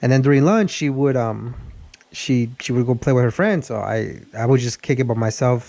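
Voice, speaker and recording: A man with a Spanish accent talks at a fairly quick pace and a medium pitch. His tone is dark and mellow, and his pitch varies in an ordinary way. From Mexico. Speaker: car channel host. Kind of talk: casual chat. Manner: halting, many repeated words.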